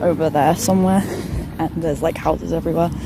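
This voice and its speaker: The voice is soft-spoken with ordinary pitch variation, heard against noticeable background noise. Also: woman. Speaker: art journaling YouTuber. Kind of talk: casual vlog narration. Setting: outdoors.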